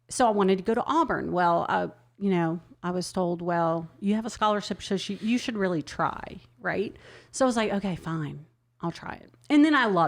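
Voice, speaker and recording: A fairly quick American accent with lively intonation, on a very clean recording against a silent background. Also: woman, medium pitch for a woman. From New Orleans, Louisiana, US South. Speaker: sommelier and wine business owner. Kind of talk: casual interview chat.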